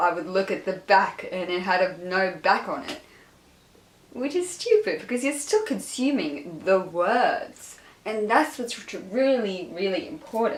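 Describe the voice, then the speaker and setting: A woman speaks at a fairly slow pace and fairly high pitch, with very wide pitch swings. Audible room echo and noticeable background noise fill the recording. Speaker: book vlogger. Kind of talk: casual chat. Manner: animated.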